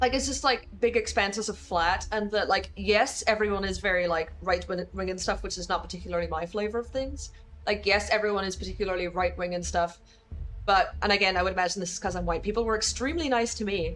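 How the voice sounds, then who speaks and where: A woman talks very quickly while music plays behind her. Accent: American. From Northern Ireland. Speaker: video game streamer. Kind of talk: casual gaming livestream chat.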